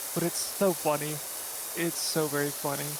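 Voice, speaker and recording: American accent against noticeable background noise. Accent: slight Southern accent, mostly word choice. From US South, Florida. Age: 30s. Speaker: streamer. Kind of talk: casual chat. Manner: animated.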